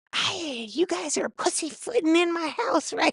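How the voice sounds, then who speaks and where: In a put-on character voice, a female-sounding speaker shouts at a moderate pace with extremely high pitch. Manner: yelling.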